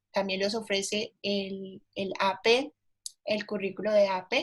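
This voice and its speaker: A woman's somewhat breathy voice with a Cali Colombian accent, fairly even intonation and a fairly slow pace, on a very clean recording with a silent background. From Colombia, Cali. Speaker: teacher, historian. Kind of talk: presentation conversation. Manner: hesitant, many fillers.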